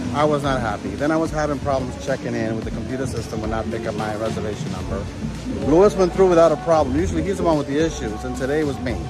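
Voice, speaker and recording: A man talks very fast while clear music is heard behind him. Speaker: travel vlogger. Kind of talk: casual vlog chat. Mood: mildly annoyed, recounting. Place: station. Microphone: phone near.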